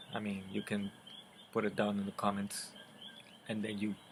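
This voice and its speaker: His pitch sits fairly low. The man talks with a Spanish accent. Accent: Spanish accent, noticeable. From Puerto Rico. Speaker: book vlogger. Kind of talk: casual vlog talk to camera. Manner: halting, many fillers and repeats; unedited, conversational.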